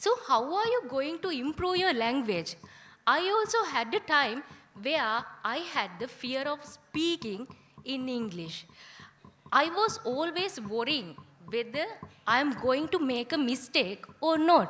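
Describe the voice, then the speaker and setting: A woman speaks with a Sri Lankan accent at a fairly slow pace. Her high pitch swings very widely. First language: Sinhala. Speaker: guest speaker. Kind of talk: ceremony speech.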